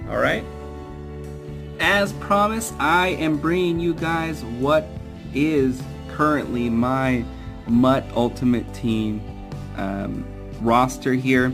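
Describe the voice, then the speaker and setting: Music plays in the background as a man at a medium pitch talks at a very slow pace, his intonation lively and his speech broken by long, frequent pauses. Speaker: gamer, video game streamer. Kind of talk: casual talk to camera. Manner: hesitant, with stutters and fillers.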